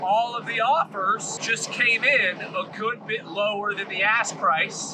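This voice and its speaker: The voice is loud. Noticeable background noise is present. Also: man. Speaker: commercial real estate broker. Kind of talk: casual vlog storytelling.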